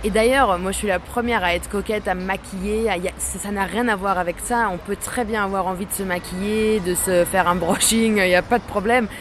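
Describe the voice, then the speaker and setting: Over noticeable background noise, a woman at medium pitch talks fairly quickly with hardly any pauses. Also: fairly even intonation. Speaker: composer and guitarist. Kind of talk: interview.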